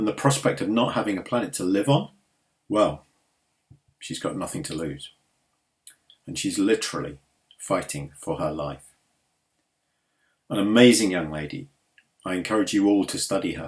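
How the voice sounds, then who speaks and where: A man speaks in a fairly low voice with very wide pitch swings. He takes long, frequent pauses. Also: moderate pace. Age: 60s. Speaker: climate campaigner. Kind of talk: speech.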